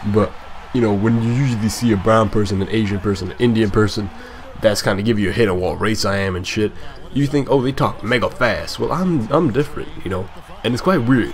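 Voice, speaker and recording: A man with a fairly low pitch talks at a fairly quick pace in an animated tone with ordinary pitch variation. Noticeable background noise runs underneath. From born in Scotland, raised partly in Africa, then Scotland. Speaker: gaming YouTuber. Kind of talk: gameplay commentary with casual chat. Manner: casual, animated; moderate pace, careful pronunciation.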